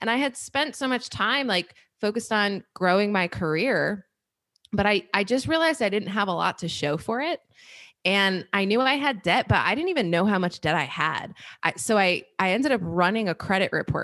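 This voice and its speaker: A woman talks at a moderate pace with lively intonation in a plain, everyday voice. The recording is very clean, with a silent background. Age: 30s. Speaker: personal finance podcast host. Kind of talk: casual interview conversation.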